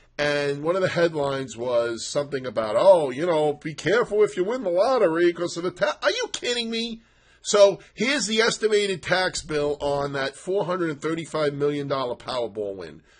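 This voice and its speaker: Animated and high-pitched, a man speaks at a moderate pace with very wide pitch swings over noticeable background noise. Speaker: stock market commentator. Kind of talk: market analysis monologue. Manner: loud; sarcastic, animated.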